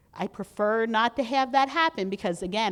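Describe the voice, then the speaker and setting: A woman speaks with a fairly high pitch and ordinary pitch variation. The recording is very clean, with a silent background. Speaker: legislative advocacy trainer. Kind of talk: training presentation. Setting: conference room with audience and mic. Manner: fast.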